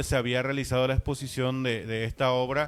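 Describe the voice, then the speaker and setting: Music plays in the background behind a man. He speaks at a medium pitch with monotone, flat intonation. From Paraguay. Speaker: visual artist. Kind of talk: interview.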